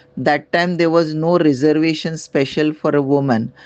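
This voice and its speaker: A woman with an Indian accent talks at a moderate pace in a very deep, low pitch with fairly even intonation. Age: 70s. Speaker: retired resident with a grievance. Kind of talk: complaint testimony. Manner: halting.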